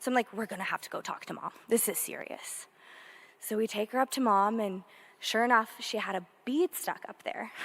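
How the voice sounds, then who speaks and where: A woman talks loudly at a fairly quick pace. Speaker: victim's sister speaking at memorial. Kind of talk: eulogy at memorial.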